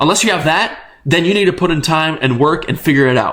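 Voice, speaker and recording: A man talks at a very fast pace in an animated tone. His pitch varies in an ordinary way. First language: not English. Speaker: crypto trading YouTuber. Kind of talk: casual monologue to camera.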